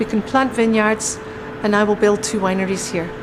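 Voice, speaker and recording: Noticeable background noise sits behind this woman's voice. She talks at a moderate pace with a fairly high pitch. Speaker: winery guide, expert on the winery's history. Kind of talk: casual interview answer.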